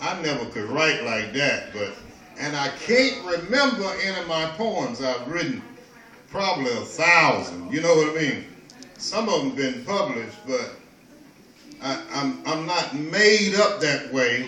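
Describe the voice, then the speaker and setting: A man speaks fairly slowly at a fairly high pitch, with very wide pitch swings. Audible room echo and noticeable background noise surround him. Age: 60s. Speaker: storyteller and peace teacher. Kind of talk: casual talk to an audience. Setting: kava bar. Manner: halting, with many repetitions.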